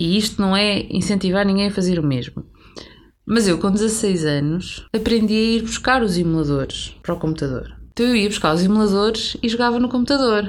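An unremarkable speaking voice moves at a fairly quick pace with lively intonation and very even loudness. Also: woman, medium pitch for a woman. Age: 30s. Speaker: podcast co-host. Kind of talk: casual chat.

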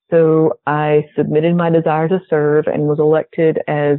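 A woman with a slight Southern US accent speaks in a very deep, low voice. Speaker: pharmacist.

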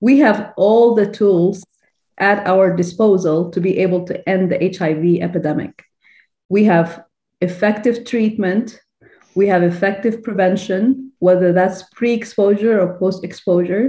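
Somewhat breathy, a woman with a dark, mellow tone and medium pitch talks at a fairly slow pace with fairly even intonation. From Sudan. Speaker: infectious disease physician. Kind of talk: interview conversation.

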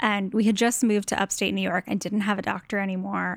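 At a fairly quick pace, a woman with an unremarkable speaking voice and medium pitch keeps a fairly even intonation on a very clean recording with a silent background. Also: dry, close sound with no echo. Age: 30s. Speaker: design blogger. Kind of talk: interview.

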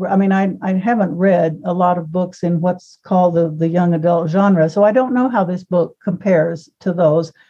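Speaking at a moderate pace with hardly any pauses, a woman has a fairly low, somewhat breathy voice with a dark, mellow tone and fairly even intonation. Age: 70s. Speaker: book editor. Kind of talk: casual chat.

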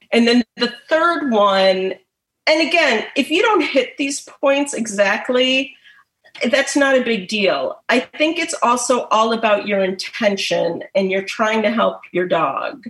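A woman with an American accent, high-pitched, lively in intonation and very slow in pace. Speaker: pet massage therapist. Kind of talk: presentation.

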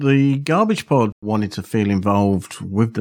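Heard on a very clean recording with a silent background, the speaker uses a southern English accent, lively intonation and a fairly slow pace. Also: man. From Aylesbury, southern England. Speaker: podcast host. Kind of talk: podcast hosting and interviews. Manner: upbeat.

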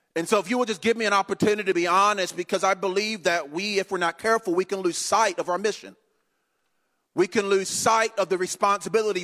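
A man's raised, projected voice, high-pitched and bright, sharp in tone, at a very fast pace in dry, close sound with no echo. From North Carolina. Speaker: guest preacher. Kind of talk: sermon. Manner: animated.

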